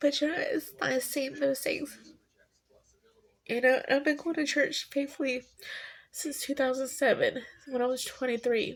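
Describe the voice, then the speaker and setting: Speaking at a fairly slow pace with long, frequent pauses, a woman keeps a fairly even intonation in a high voice. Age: 40s. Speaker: vlogger. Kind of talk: casual personal monologue.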